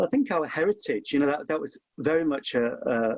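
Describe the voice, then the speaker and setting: The speaker is a man with a Hull accent. His voice sounds dry and close, with no echo. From Hull, East Yorkshire, England. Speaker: historian. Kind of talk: webinar conversation. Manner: impassioned.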